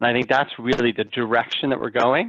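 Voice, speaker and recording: A man speaks with an ordinary speaking voice and an American accent. He keeps a medium pitch and a fairly quick pace. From United States. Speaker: fixed income fund manager. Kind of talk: interview.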